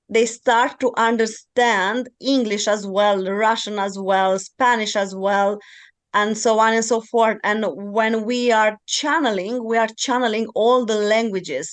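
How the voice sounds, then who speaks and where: A woman's fairly high-pitched voice with a Romanian accent, at a fairly slow pace and with fairly even intonation, over a quiet background. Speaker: podcast host and channeling teacher. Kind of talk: podcast interview.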